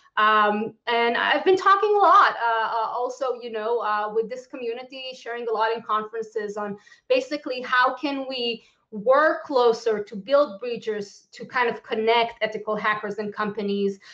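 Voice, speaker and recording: Hardly pausing, a woman speaks at a fairly high pitch with a bright, sharp tone and an Israeli accent. Her pitch variation is ordinary, while her loudness swings widely. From Israel, Tel Aviv. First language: Hebrew. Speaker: lawyer and security policy expert giving a conference talk. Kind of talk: conference talk. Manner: fast, with many fillers.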